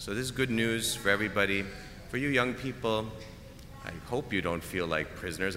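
Audible room echo carries a man's very deep, low voice as he talks at a fairly quick pace. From Canada. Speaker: preacher. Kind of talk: homily.

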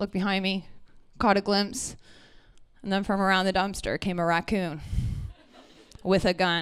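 A woman's medium-pitched voice at a moderate pace, with long, frequent pauses, on a very clean recording with a silent background. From Ontario, Canada (Brantford). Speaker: comedian. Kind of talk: stand-up. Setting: stage with audience. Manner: animated.

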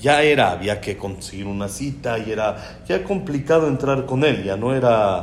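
A man at a medium pitch and moderate pace, lively in intonation, with audible room echo and noticeable background noise. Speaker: rabbi giving a Torah talk. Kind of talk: Torah lecture.

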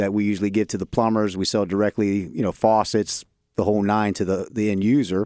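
A man's fairly low voice with a Midwestern American accent, flat and monotone at a moderate pace, dry and close with no echo, on a very clean recording with a silent background. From Columbus, Ohio. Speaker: area sales manager. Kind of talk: casual interview.

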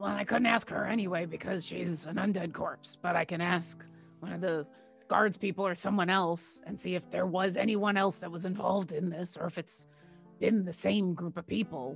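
A female-sounding, raspy put-on character voice, fairly low in pitch, moves at a moderate pace. Clear music plays in the background. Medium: actual play. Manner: earnest, casual.

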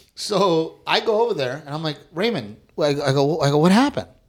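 A man's ordinary speaking voice with an American accent, fairly high in pitch and lively in intonation. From South Texas, near Corpus Christi. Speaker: stand-up comedian. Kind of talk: casual chat.

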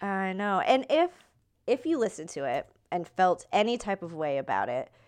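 Woman with a fairly high pitch and very wide pitch swings at a moderate pace, over a quiet background. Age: 20s. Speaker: podcast co-host. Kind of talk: casual chat.

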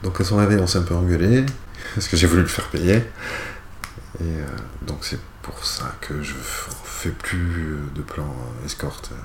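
Pausing often and at length, a man speaks at a fairly slow pace in a very deep, low pitch, with audible room echo. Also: ordinary pitch variation. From rural France, mountain valley. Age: 30s. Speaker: sex worker and illustrator. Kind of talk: interview. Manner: halting.

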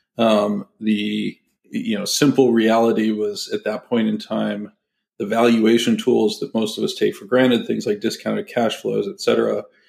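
At a fairly slow pace, a man talks with a General American accent. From US West Coast, San Francisco Bay Area. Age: 50s. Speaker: fund manager. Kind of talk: interview.

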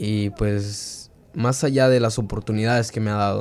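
A man is speaking. His pitch sits fairly low. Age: young. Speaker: high school soccer player, immigrant. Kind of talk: interview testimony. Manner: halting.

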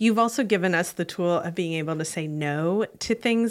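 On a very clean recording with a silent background, a woman speaks in a plain, everyday voice at a fairly low pitch and moderate pace, with ordinary pitch variation. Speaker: podcast host. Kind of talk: casual chat.

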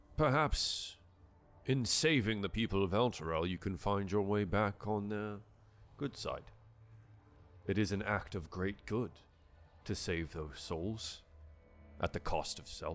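A man's put-on character voice, fairly low in pitch, at a fairly slow pace with long, frequent pauses, on a very clean recording with a silent background. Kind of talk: dignified fantasy speech. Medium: actual play. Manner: formal, measured.

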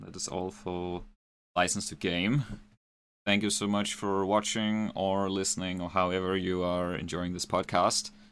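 A man's very deep, low voice at a moderate pace, with monotone, flat intonation. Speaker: video game podcast host. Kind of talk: casual chat; scripted intro. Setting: live stream, remote call.

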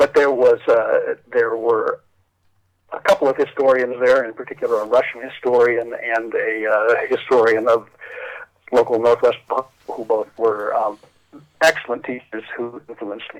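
Using a Midwestern American accent, a man speaks at a moderate pace with long, frequent pauses and big swings in loudness. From northwestern Ohio. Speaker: history journal editor. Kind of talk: interview.

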